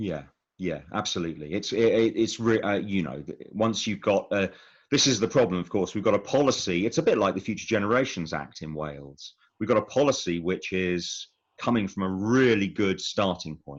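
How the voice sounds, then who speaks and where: A man in a southern English accent, fairly low-pitched, at a fairly quick pace with lively intonation, over a quiet background. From England, Buckinghamshire. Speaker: smallholder and self-builder. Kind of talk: interview. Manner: halting, many repetitions and fillers.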